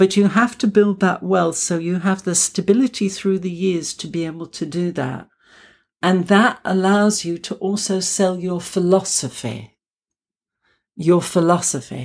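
Speaking at a fairly slow pace, a woman uses an English accent and a medium pitch with ordinary variation. It is a very clean recording with a silent background. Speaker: clinical hypnotherapist and naturopath. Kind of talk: interview.

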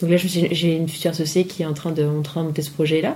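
Talking at a very fast pace, a woman has a somewhat breathy, dark, mellow tone and a fairly low pitch. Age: 30s. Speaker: entrepreneur in dance, multipotentialite. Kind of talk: casual chat. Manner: hesitant, many fillers.

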